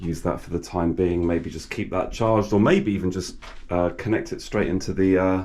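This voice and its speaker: A man speaks at a moderate pace in a very deep, low voice. His intonation is fairly even, and the room echo is audible. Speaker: DIY video creator. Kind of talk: tutorial. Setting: outdoors among garages. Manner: soft-spoken; halting, many fillers.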